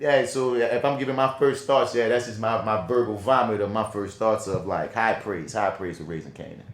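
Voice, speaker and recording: A man with a New Orleans accent speaks in an animated tone at a fairly quick pace, his medium pitch showing ordinary variation over noticeable background noise. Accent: New Orleans accent, moderate. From New Orleans, Louisiana. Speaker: podcast co-host, film and TV reviewer. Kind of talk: casual chat. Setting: podcast recording.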